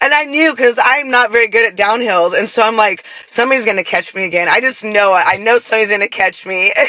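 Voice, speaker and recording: A woman speaks very fast with hardly any pauses, her loudness very even and her pitch fairly high with ordinary variation. Noticeable background noise sits behind her. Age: 40s. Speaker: ultra runner and stroke survivor. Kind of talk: casual interview chat.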